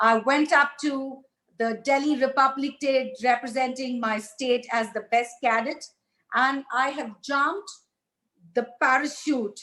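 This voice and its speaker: The speaker uses a raised, projected voice with a bright, sharp tone at a fairly slow pace. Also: woman, high pitch for a woman. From India, Hyderabad. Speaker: satellite entrepreneur, motivational speaker. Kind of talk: motivational talk. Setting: virtual ceremony, recorded remotely. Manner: loud; animated.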